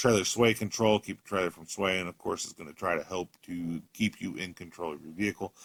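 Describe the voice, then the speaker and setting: A man talks with fairly even intonation. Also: dry, close sound with no echo. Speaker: car salesman. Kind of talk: product walkthrough video. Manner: fast.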